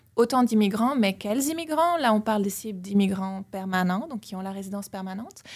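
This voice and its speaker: A woman with a somewhat breathy voice at medium pitch talks with lively intonation, hardly any pauses and big swings in loudness. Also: fairly quick pace. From Belgium. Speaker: political science professor. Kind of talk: interview. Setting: studio.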